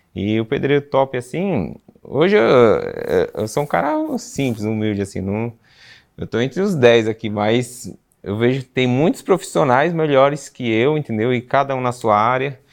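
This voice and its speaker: In a quiet background, a man speaks in a plain, everyday voice at medium pitch and a moderate pace, with lively intonation. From Brazil, São Paulo city. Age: 30s. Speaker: bricklayer. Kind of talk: interview.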